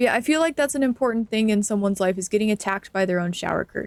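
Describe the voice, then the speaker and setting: A woman's normal speaking voice at medium pitch, with lively intonation and a dry, close sound with no echo. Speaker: streamer. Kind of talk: live gameplay stream chat. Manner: frequent filler 'um'.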